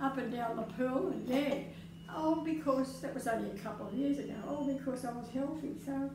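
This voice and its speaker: Lively intonation marks a woman's high voice, heard over noticeable background noise. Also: moderate pace. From Australia. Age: 80s+. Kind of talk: interview answer.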